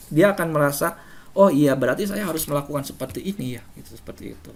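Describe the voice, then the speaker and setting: A man talks with lively intonation. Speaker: teacher presenting to fellow teachers. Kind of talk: webinar presentation. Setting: online webinar. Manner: firm, forceful delivery.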